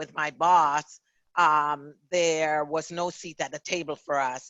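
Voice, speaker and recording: A woman with a Jamaican accent speaks in a very deep, low pitch. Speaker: author and diversity consultant. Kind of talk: interview.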